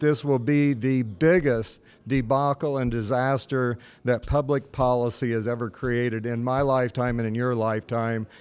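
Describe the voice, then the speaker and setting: A man talks fairly slowly in an ordinary speaking voice, at medium pitch with ordinary variation. The recording is very clean, with a silent background. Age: 60s. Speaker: state politician. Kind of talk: political interview.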